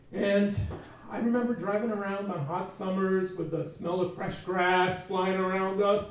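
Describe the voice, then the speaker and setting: A man talks at a moderate pace. The recording has noticeable background noise and audible room echo. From US, Portuguese immigrant household. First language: Portuguese. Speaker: event speaker. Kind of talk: personal storytelling talk. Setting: stage with audience.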